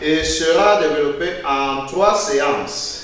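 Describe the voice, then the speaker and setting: Through strong room echo, a man with a high pitch speaks at a very slow pace. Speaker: teacher. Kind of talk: lecture. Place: classroom.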